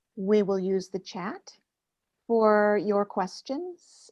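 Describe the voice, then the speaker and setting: Recorded with a dry, close sound and no echo, a woman speaks with an American accent. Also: quiet background. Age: 70s. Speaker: focusing teacher. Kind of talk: lecture.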